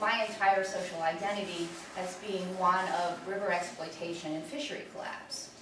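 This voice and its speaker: Heard through noticeable background noise and audible room echo, a woman speaks at a moderate pace with ordinary pitch variation. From Delaware, Chesapeake Bay family. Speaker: activist lecturer. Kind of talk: lecture.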